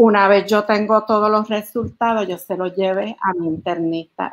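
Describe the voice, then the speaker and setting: The intonation stays fairly even while the words come very slowly. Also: woman. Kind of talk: interview answer. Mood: calm, reflective. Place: home room. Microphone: video call.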